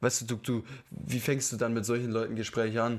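In a very clean recording with a silent background, a man speaks fairly quickly with monotone, flat intonation. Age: 20s. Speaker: podcast co-host. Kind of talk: casual chat.

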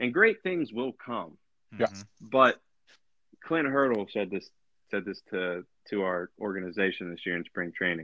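A man with a fairly low pitch and lively intonation speaks at a moderate pace, leaving long, frequent pauses. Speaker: professional baseball player. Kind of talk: casual interview. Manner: relaxed.

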